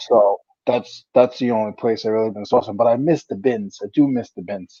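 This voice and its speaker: In a New England accent, a man with a dark, mellow tone and medium pitch speaks at a moderate pace with ordinary pitch variation and big swings in loudness. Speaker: reseller. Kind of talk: casual chat.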